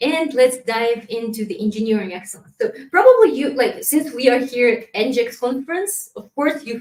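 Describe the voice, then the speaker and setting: A woman's fairly high voice with ordinary pitch variation and a Kazakh accent. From Kazakhstan. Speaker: community manager. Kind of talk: conference presentation. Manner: halting.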